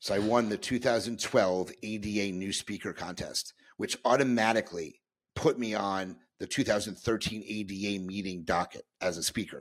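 A man speaks with a fairly low pitch. The recording is very clean, with a silent background. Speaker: dentist and podcaster. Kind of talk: casual interview chat.

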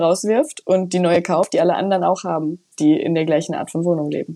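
A woman speaks with a dark, mellow tone and a fairly low pitch. Her pitch varies in an ordinary way. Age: 20s. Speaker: journalist and nonfiction author. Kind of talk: interview. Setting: remote connection.

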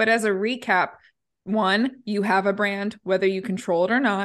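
A woman talks in a normal speaking voice at medium pitch. Her pace is moderate and the background quiet. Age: 30s. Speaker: branding agency founder. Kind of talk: interview.

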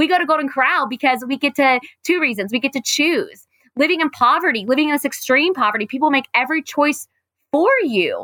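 A woman with an American accent speaks in a raised, projected voice with a bright, sharp tone and lively intonation. The pace is moderate, and the sound is dry and close with no echo. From Raleigh, North Carolina. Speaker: nonprofit cafe founder. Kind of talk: interview conversation. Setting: video call.

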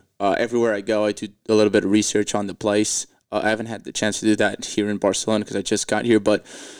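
At a very fast pace, a man with a medium pitch speaks in a Portuguese accent. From Portugal. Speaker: comedian. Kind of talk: casual chat.

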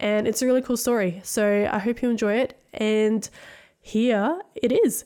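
With an Australian accent, a woman speaks fairly slowly in a dark, mellow tone with ordinary pitch variation and very even loudness. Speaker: podcast host. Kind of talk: casual interview.

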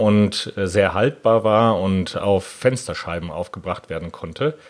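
A man talks at a fairly slow pace in a normal speaking voice. His pitch is fairly low. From Germany, Hanover. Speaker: patent attorney. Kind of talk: interview.

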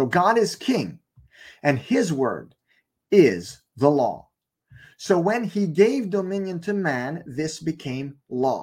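Speaking in a French accent, a man talks at a very slow pace in a high pitch with very wide pitch swings. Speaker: online preacher. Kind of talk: sermon-style Bible teaching. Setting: live stream broadcast.

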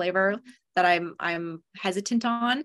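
A woman with a Canadian accent speaks in a bright, sharp tone. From Ontario, Canada (London). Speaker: communications manager for an industry association. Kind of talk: podcast interview.

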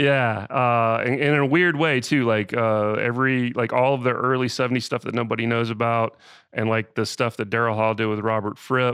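A plain, everyday voice speaks with an American accent at a moderate pace, with hardly any pauses. The intonation is fairly even, and the background is quiet. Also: man, medium pitch for a man. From US South, Georgia (Austell, near Atlanta). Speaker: music producer and songwriter. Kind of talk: interview conversation.

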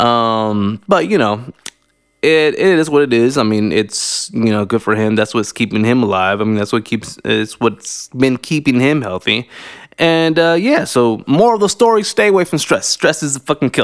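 Speaking with an American accent at a moderate pace, a man has a normal speaking voice, a medium pitch and lively intonation. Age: 30s. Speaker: podcast host. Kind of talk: casual monologue. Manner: casual, filler-heavy.

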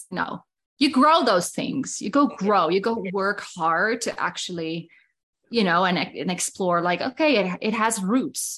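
A woman speaks with a Dutch accent, at a medium pitch and fairly slow pace. Her intonation is lively, and the background is quiet. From Netherlands. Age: 30s. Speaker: business mentor. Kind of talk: casual chat.

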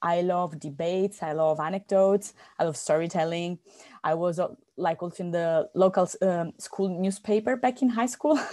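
In an Italian accent, a woman speaks at a moderate pace with a fairly low pitch and a dark, mellow tone against a quiet background. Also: ordinary pitch variation. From Italy. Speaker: life coach and university lecturer. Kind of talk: interview conversation. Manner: talkative, with frequent repetitions.

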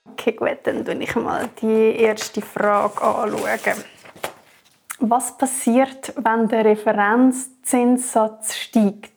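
This woman has a fairly high pitch. She talks at a very slow pace. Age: 30s. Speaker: marketing worker, tenant. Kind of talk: casual chat.

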